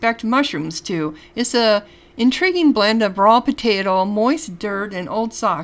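Reading aloud happens here in a natural voice.

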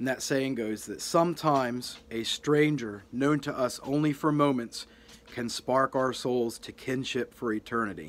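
Soft-spoken and at a fairly slow pace, a man talks with ordinary pitch variation. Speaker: youtuber. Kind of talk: heartfelt birthday tribute to a deceased internet personality. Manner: earnest, sentimental, gently reverent; slightly halting with soft humor. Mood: sincere, tender, sentimental. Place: home room. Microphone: phone near.

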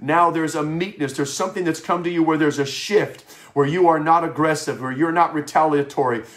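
Speaking at a very fast pace with fairly even intonation, a man is heard over a quiet background. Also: fairly high pitch for a man. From Wisconsin. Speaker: pastor. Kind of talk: sermon. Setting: home office broadcast. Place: home room. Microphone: webcam.

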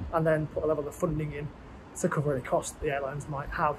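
This man speaks very fast. Background noise is clearly audible. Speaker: travel vlogger. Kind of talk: casual vlog chat. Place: station. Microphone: earbuds.

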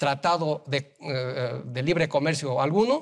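This man's pitch is fairly high. Behind him, the background stays quiet. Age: 60s. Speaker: business association leader; guest. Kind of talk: TV interview. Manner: halting, many fillers and repeated words. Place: studio. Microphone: lapel.

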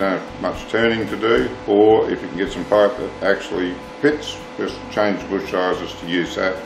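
The speech moves at a moderate pace with fairly even intonation. Faint music plays in the background. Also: man. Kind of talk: tutorial. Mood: calm, reflective. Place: workshop.

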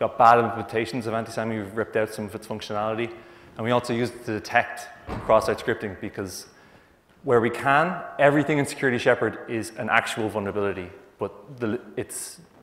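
A man speaks at a very fast pace with fairly even intonation. Audible room echo surrounds his voice. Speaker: conference presenter. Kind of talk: conference talk. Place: hall.

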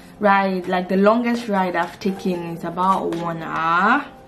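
With clear music in the background, a woman with a fairly low voice speaks at a very slow pace. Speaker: vlogger. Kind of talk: casual vlog chat. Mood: excited but nervous. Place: home room. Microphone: phone near.

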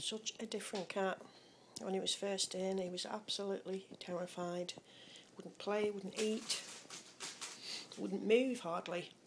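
A woman speaks at a fairly slow pace in a monotone, flat intonation, with long, frequent pauses. Noticeable background noise runs underneath. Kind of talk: casual pet narration. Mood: fond, relaxed, amused. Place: kitchen. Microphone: phone near.

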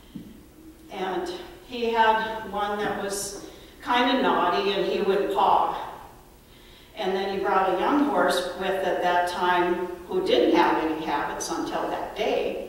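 Speaking at a very slow pace with long, frequent pauses, a woman uses ordinary pitch variation in a room with strong echo. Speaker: speaker. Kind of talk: eulogy storytelling. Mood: warm, reminiscing. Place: church.

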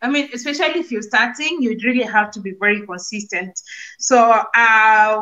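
The background is quiet. A woman talks in a bright, sharp tone. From Kenya, Nairobi; Kenya. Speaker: YouTube content creator; guest. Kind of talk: casual chat. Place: home room. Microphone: unstable network connection; video call.

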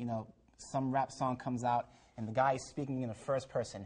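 Against a quiet background, a man with a dark, mellow tone talks at a medium pitch with fairly even intonation. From Jamaica. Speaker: talk show guest. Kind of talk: religious TV discussion. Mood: earnest, testifying. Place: studio. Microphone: lapel.

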